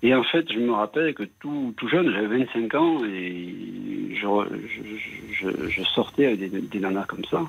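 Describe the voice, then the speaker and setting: A man's medium-pitched voice at a fairly slow pace, with long, frequent pauses and noticeable background noise. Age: 60s. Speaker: radio caller. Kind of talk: phone-in confession. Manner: halting.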